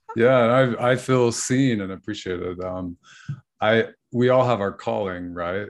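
At a fairly slow pace, a man speaks in a plain, everyday voice of medium pitch with ordinary pitch variation. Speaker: author and mindfulness teacher. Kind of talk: casual interview.

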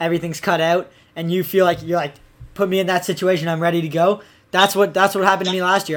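In a Canadian accent, a man speaks in a high pitch at a very fast pace with monotone, flat intonation. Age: 20s. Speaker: podcast host, freestyle skier. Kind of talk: casual chat, interview. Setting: studio. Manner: casual, slangy, fillers.

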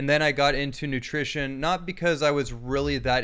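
A man talks at a fairly quick pace in an unremarkable speaking voice. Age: 30s. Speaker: bodywork therapist and author. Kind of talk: interview.

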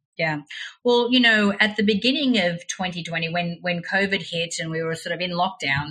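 An ordinary speaking voice is heard here. It moves at a moderate pace, and its pitch varies in an ordinary way. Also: woman. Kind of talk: casual interview chat.

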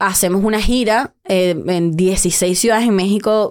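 Medium in pitch with ordinary pitch variation, a woman speaks in an unremarkable speaking voice. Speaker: comedian. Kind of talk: casual chat. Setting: studio.

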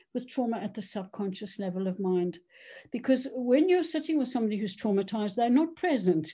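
With a dark, mellow, somewhat breathy tone, the voice moves at a fairly quick pace through very wide pitch swings over a quiet background. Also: woman, fairly high pitch for a woman. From South Africa. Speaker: doctor and trauma therapist. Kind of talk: interview.

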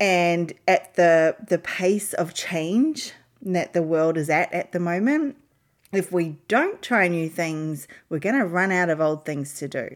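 On a very clean recording with a silent background, a woman with a fairly low pitch speaks at a very slow pace with ordinary pitch variation. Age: 40s. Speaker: leadership coach podcast host. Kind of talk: solo podcast talk.

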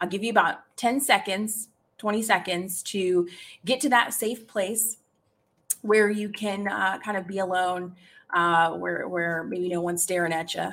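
A normal speaking voice at a fairly slow pace with ordinary pitch variation, on a very clean recording with a silent background. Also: woman, medium pitch for a woman. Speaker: live podcast host and career coach. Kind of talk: guided meditation. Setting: live stream with chat. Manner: coaxing, inviting, slow and rhythmic, repeating the cues.

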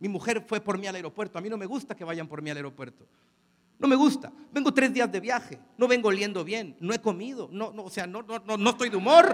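With a Mexican accent, a man speaks in an animated tone at a high pitch, his intonation lively and his loudness swinging widely. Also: fairly quick pace. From Mexico. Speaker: motivational speaker. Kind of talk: conference talk. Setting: stage with audience.

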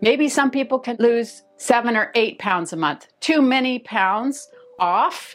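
A woman at a high pitch and fairly slow pace, with music in the background. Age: 50s. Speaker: weight loss vlogger. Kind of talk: monologue to camera.

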